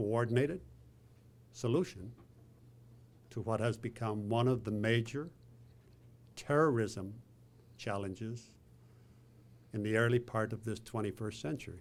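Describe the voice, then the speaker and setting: With an Irish accent, a man of medium pitch speaks with long, frequent pauses. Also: ordinary pitch variation, moderate pace. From Ireland, northwest. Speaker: president of a foreign affairs council, event host. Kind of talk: opening remarks at a panel event.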